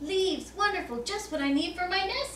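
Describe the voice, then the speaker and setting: Delivered in a put-on character voice, the speech has an extremely high pitch, a fairly quick pace and slight echo. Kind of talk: bedtime story. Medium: read story.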